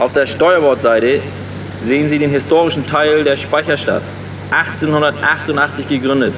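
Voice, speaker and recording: Noticeable background noise sits behind a man who speaks with a fairly high voice at a fairly slow pace. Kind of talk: tour guide patter on a harbour boat tour, scripted audio-book scene. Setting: on a boat, harbour tour, with PA-style address to passengers. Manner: jovial, dry-humoured, friendly and matter-of-fact.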